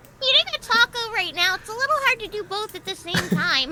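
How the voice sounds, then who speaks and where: Over loud background noise, a squeaky, put-on character voice rattles along at a very fast pace and an extremely high pitch. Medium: virtual streamer. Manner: casual, offhand.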